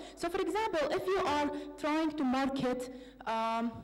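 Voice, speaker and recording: A woman's voice carries audible room echo, with noticeable background noise behind it. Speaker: PhD student presenter. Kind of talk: academic presentation. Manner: hesitant, many fillers.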